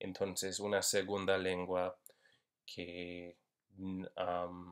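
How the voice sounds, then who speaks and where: Very deep and low, a man's voice with an English accent moves at a very slow pace in a monotone, flat intonation, in a very clean recording with a silent background. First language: English (speaking Spanish). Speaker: university Spanish linguistics instructor. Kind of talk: lecture. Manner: halting, many fillers.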